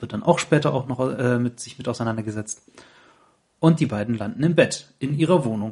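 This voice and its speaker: Somewhat breathy, a man with a medium pitch and ordinary pitch variation talks at a fairly quick pace, with long, frequent pauses and big swings in loudness. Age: 30s. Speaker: podcast host. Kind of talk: casual chat. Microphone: laptop recording.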